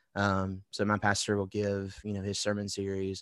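A man with an American accent talks at a fairly quick pace and a fairly low pitch. The sound is dry and close, with no echo. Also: quiet background. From Alabama (Wetumpka, near Montgomery). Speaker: worship pastor. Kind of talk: interview.

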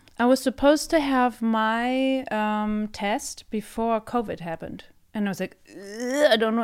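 A woman's fairly high voice in a very clean recording with a silent background. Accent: German. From Germany. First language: German. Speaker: theatre director and co-host. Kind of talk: casual chat.

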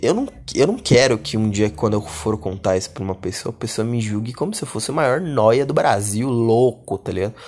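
A normal speaking voice at a fairly quick pace, with ordinary pitch variation and hardly any pauses. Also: man, medium pitch for a man. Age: 20s. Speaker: podcast host. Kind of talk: solo podcast monologue. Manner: casual slangy.

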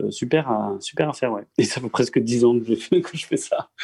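Speaking at a fairly slow pace, a man leaves hardly any pauses. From Strasbourg, Alsace. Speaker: local politician. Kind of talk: remote interview. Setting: internet call.

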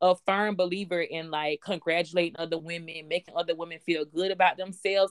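A woman talks at a fairly quick pace in a fairly low pitch. Her intonation is monotone and flat. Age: 20s. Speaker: podcast host and business coach. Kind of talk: casual chat.

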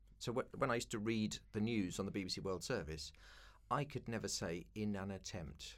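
Here a man talks at a moderate pace with vocal fry. His pitch is fairly low. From East London. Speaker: broadcaster and keynote speaker. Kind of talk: interview.

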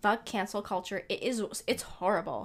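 This woman has a normal speaking voice, fairly high in pitch, with ordinary pitch variation. She speaks at a fairly quick pace with a Canadian accent. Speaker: podcast co-host. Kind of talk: casual chat.

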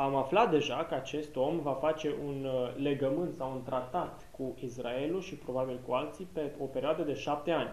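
A man speaks with a fairly high voice and fairly even intonation. Noticeable background noise and audible room echo are present. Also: moderate pace. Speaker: interpreter. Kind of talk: consecutive interpretation of a Bible study. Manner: hesitant with filler sounds.

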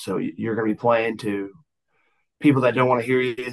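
A man speaks with a Southern US accent. His pitch varies in an ordinary way. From US South, Georgia outskirts of Atlanta and Florida. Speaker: singer-songwriter, Navy veteran. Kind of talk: casual chat.

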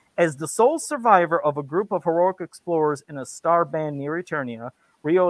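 The recording is very clean, with a silent background and a dry, close sound without echo. A man speaks at a high pitch. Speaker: podcast co-host. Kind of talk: casual banter podcast chat. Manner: fast talker; sarcastic, joking.

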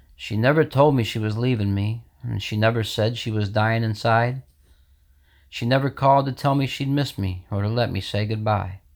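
A man with an American accent speaks in a normal speaking voice at a moderate pace with fairly even intonation, on a very clean recording with a silent background. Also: medium pitch for a man. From New York state, US. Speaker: poet reading his own poem. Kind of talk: poetry reading, rhymed, sorrowful, read aloud.

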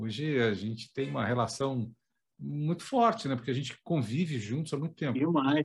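A somewhat breathy voice with lively intonation at a moderate pace. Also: man, medium pitch for a man. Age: 50s. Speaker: documentary director and journalist. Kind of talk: interview.

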